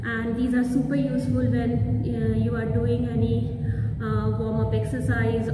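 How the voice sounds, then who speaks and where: A woman talks at a fairly slow pace. Behind her, music plays in the background. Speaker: fitness instructor. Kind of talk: tutorial. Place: gym. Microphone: camera far.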